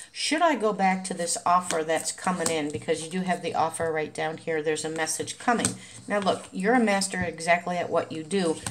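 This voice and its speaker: A woman with a normal speaking voice at a fairly low pitch, a fairly quick pace and ordinary pitch variation, with light background noise. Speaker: tarot card reader. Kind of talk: tarot reading commentary. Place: home room. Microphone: phone near.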